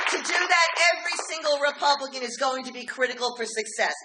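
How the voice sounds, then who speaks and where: Using a raised, projected voice, a woman with an American accent speaks with lively intonation. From New York City, Queens. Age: 60s. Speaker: political organization president. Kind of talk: speech. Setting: dinner event with audience. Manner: animated.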